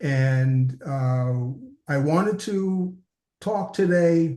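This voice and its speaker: Fairly high in pitch, a man's voice sounds somewhat breathy. His pitch varies in an ordinary way. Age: 70s. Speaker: interview guest living with diabetes. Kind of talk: interview, personal testimony. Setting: remote from his office. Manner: halting, many fillers.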